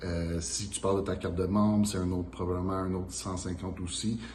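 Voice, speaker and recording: The speaker talks at a fairly quick pace in a Quebec French accent, with ordinary pitch variation. Audible room echo and noticeable background noise are present. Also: man. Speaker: pro bodybuilder, channel host. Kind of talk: casual Q&A chat.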